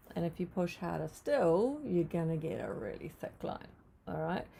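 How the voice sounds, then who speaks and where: With lively intonation and a dark, mellow tone, a woman speaks at a moderate pace. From New Zealand. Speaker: art teacher. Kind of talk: live painting tutorial. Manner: casual, hesitant with fillers.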